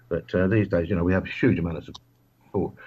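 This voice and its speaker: A man's very deep, low voice at a very fast pace, with ordinary pitch variation. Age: 60s. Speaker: micronation royal, author. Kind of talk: radio interview.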